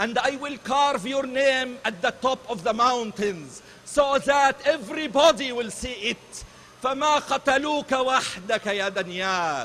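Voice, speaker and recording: In an Arabic accent, a man speaks very slowly with hardly any pauses, his voice raised and projected at an extremely high pitch. His pitch variation is ordinary, and noticeable background noise is present. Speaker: rally speaker. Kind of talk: rally speech. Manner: impassioned.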